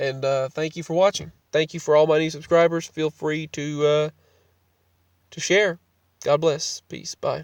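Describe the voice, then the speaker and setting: This man's voice sits fairly high and moves at a moderate pace with a flat, monotone delivery. Long pauses come often, and the sound is dry and close with no echo. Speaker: video blogger. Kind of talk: casual vlog monologue. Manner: halting; sluggish, out of it.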